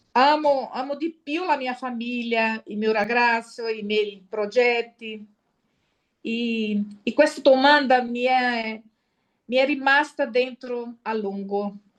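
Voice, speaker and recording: In a Brazilian accent, a woman speaks at a high pitch and a very slow pace. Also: ordinary pitch variation. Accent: Brazilian Portuguese accent in Italian. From Brazil (Sergipe). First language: Portuguese (speaking Italian). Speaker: lay missionary giving testimony. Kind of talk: personal testimony at a conference. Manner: halting, many fillers and self-corrections.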